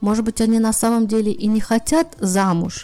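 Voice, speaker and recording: A woman with a normal speaking voice talks at a fairly slow pace and a fairly high pitch. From Russia. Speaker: podcast host. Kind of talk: interview.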